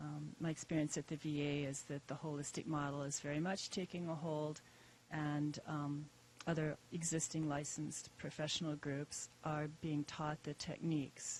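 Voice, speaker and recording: Soft-spoken, a woman talks at a moderate pace with monotone, flat intonation. Her pitch is very deep and low. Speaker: yoga therapist. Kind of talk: audience question at conference panel.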